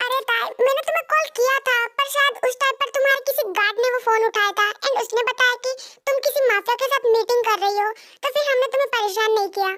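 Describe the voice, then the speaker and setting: A woman uses a put-on character voice with an extremely high pitch at a fairly quick pace. Her loudness stays very even, and her intonation is fairly even. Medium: read story. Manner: anxious, talkative.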